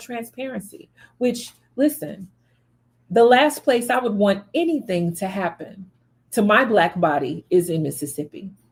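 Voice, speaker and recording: In an animated tone, a woman with a fairly high, somewhat breathy voice speaks at a moderate pace with very wide pitch swings. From US South, Memphis, Tennessee. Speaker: spiritual reader and channel host. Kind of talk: commentary monologue on a death case.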